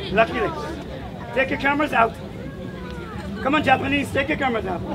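A man talks at a very fast pace. Noticeable background noise can be heard. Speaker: street performer and acrobat. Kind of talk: street show crowd patter. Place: street. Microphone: camera far.

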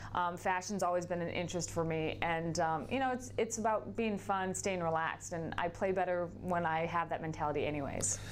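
At a fairly quick pace over light background noise, a woman with a fairly low pitch speaks with ordinary pitch variation. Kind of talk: interview answer. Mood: relaxed, cheerful. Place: studio. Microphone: lapel.

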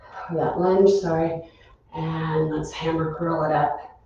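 A woman speaks in a fairly low pitch. Strong room echo surrounds her voice, with light background noise. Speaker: fitness instructor. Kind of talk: live-streamed exercise class, giving clear cues and counting down reps. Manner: brisk, instructional, rhythmic cueing. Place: gym. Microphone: camera far.

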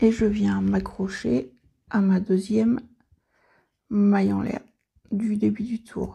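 Slow and with little pitch movement, a woman talks at a medium pitch in a dark, mellow tone that carries a husky, rough edge and vocal fry.

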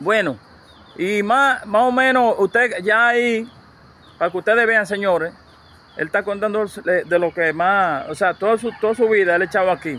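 A man with a high pitch uses a raised, projected voice. The sound is dry with no echo. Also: ordinary pitch variation, moderate pace. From Dominican Republic. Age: 50s. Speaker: YouTuber interviewer. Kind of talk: casual interview. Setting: outdoors at a rural home. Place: open country.

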